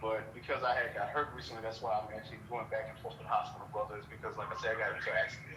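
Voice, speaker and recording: A man at a very fast pace with hardly any pauses, amid audible room echo and noticeable background noise. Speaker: podcast host. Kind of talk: casual chat.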